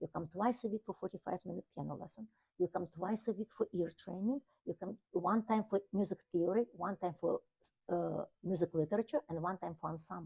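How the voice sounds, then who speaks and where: Somewhat breathy and dark, mellow in tone, a woman of medium pitch speaks at a fairly quick pace with a slight Ukrainian accent and ordinary pitch variation in a dry, close sound with no echo. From Ukraine. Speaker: piano teacher. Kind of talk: interview. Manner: halting.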